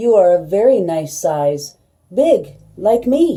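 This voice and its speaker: Using a put-on character voice, a woman speaks at a medium pitch and a fairly slow pace with very wide pitch swings. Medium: read story. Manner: slow, gentle.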